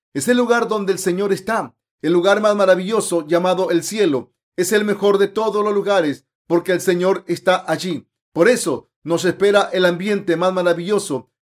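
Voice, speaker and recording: This man talks at a moderate pace with a high pitch. His pitch varies in an ordinary way. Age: 50s. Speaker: preacher. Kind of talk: sermon. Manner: formal.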